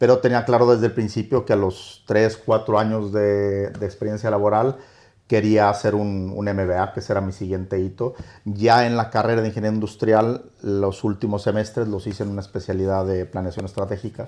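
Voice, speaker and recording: A man's fairly low, dark, mellow voice with a slight Mexican accent, monotone and flat in intonation, at a fairly quick pace against a quiet background. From northern Mexico (Torreón). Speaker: hotel company executive. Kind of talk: interview. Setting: in-person at a hotel.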